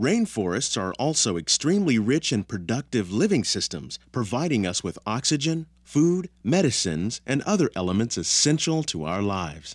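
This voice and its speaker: A man's voice with very wide pitch swings and hardly any pauses, over a quiet background. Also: moderate pace, dry sound with no echo. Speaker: ride narrator. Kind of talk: scripted narration.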